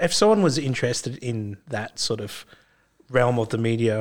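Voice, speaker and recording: A man speaks at a moderate pace and medium pitch. He talks with an Australian accent. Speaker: podcast host and filmmaker. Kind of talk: casual interview chat. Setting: studio.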